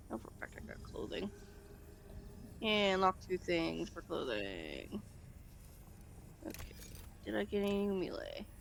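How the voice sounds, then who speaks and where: The voice is quiet and the pace fairly slow. Long pauses come often. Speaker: gaming youtuber. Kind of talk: casual chat.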